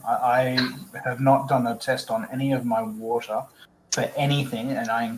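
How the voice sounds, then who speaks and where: A man with an Australian accent, medium-pitched, at a moderate pace with ordinary pitch variation, over noticeable background noise. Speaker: aquarium hobbyist. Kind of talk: casual chat.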